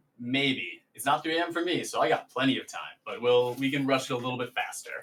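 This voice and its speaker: A man with a medium pitch talks at a fairly quick pace in an unremarkable speaking voice, his intonation fairly even. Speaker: showmaster and draft host. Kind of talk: live stream commentary and chat.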